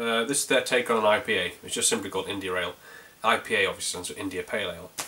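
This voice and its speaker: With a North Yorkshire accent, a man rattles along at a very fast pace. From North Yorkshire, England. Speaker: beer reviewer. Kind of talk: casual video review. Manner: hesitant, many fillers.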